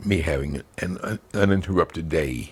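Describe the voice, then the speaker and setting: In an American accent, a man speaks with a very deep, low pitch and ordinary pitch variation against noticeable background noise. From US Midwest, Chicago South Side. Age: 80s+. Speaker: elderly family member recalling his childhood. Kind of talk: family oral history interview.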